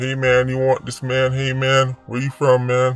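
With music in the background, a man doing a put-on character voice speaks at a moderate pace in a medium pitch with monotone, flat intonation. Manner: casual, pushy.

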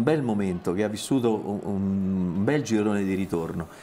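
Here a man talks at a moderate pace in a fairly low pitch. It is a normal speaking voice. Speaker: sports journalist. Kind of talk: casual chat. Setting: studio.

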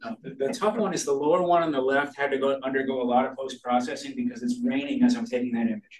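This man has an American accent and a fairly high pitch. He talks at a very fast pace with lively intonation and hardly any pauses. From Massachusetts (Attleboro). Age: 50s. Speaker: amateur astronomer and speaker. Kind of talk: lecture. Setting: stage with audience.

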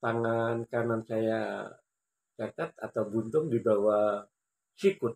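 A man at a very slow pace, with long, frequent pauses and fairly even intonation. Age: 50s. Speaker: amateur table tennis player and YouTuber; YouTuber. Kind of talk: personal storytelling vlog. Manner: formal. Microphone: phone near.

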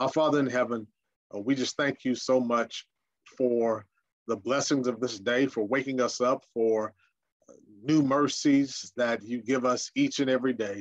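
The man delivers his words at a moderate speed, with fairly even intonation and a quiet background behind him. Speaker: senior minister. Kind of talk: prayer and Bible study lecture. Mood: calm, reverent. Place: home room.

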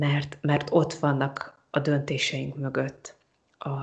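A woman's very deep, low, somewhat breathy voice at a very slow pace. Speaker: psychologist. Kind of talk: interview. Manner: hesitant repetitions.

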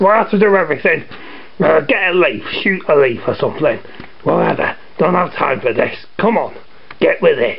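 A cartoonish character voice at a moderate pace, over clear background noise. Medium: puppet show. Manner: impatient, bossy, exasperated.

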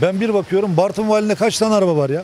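A man's high-pitched voice with ordinary pitch variation, a dry sound with no echo, and light background noise. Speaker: interviewee. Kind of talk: street interview answer. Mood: frustrated, critical. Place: street. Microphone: handheld.

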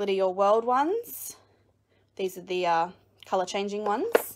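Over light background noise, a woman with an Australian accent talks at a moderate pace. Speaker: crafting video creator. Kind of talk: live-streamed room tour. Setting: at home, live video. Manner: casual, many fillers. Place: home room. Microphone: phone near.

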